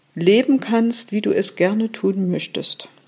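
A woman at a fairly high pitch, with a dark, mellow tone and a very slow pace. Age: 50s. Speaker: trauma therapist. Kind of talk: interview.

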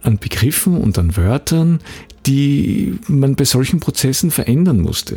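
Moving at a moderate pace, a man speaks at a fairly high pitch with very wide pitch swings. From Austria, Graz. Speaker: podcast host, copywriter and trainer. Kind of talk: solo podcast monologue. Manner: untrained, occasional hesitations.

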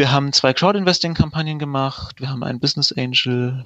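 A man talks at a fairly quick pace with a medium pitch. He has a normal speaking voice. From Allgäu, southern Germany. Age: 30s. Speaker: startup founder. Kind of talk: sales pitch.

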